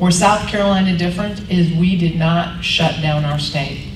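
Noticeable background noise accompanies a woman speaking. Her pitch is fairly low and her pace is moderate. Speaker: politician. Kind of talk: luncheon speech and Q&A. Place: hall.

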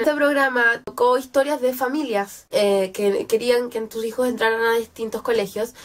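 With ordinary pitch variation, a woman speaks at a high pitch. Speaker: book vlogger. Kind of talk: casual talk to camera.

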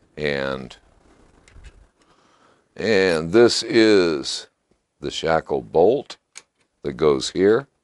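Very slow and marked by long, frequent pauses, a man speaks at an extremely low pitch with lively intonation.

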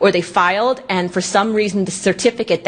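With an American accent, a woman speaks using ordinary pitch variation. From New York. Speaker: genealogy activist; presenter. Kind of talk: conference lecture. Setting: stage with audience. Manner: fast. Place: hall.

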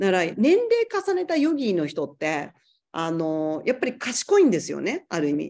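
A woman speaks at a moderate speed with a quiet background behind her. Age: 40s. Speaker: yoga teacher. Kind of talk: casual chat. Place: home room. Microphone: video call.

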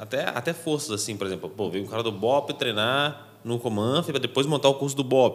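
The man's speech has ordinary pitch variation. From Brazil. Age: 20s. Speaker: podcast co-host, teacher. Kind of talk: interview. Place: studio. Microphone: studio mic.

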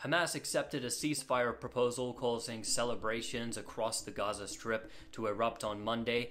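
A man speaks at a moderate pace. Light background noise is present. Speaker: news explainer host. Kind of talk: news commentary. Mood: serious, critical. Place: home room.

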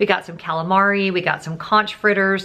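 Ordinary pitch variation accompanies a moderate pace of speech. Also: woman. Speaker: travel vlogger. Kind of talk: casual vlog chat. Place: home room.

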